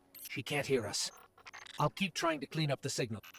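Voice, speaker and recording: A man puts on a character voice, pitched fairly high and moving at a fairly quick pace. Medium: video game. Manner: calm, earnest.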